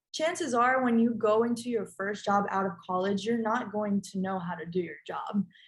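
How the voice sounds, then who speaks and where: A woman with lively intonation talks at a moderate pace in a somewhat breathy voice. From Colombia, schooled in the United States. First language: Spanish. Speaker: recent graduate, panelist. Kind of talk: panel discussion. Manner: hesitant, many fillers.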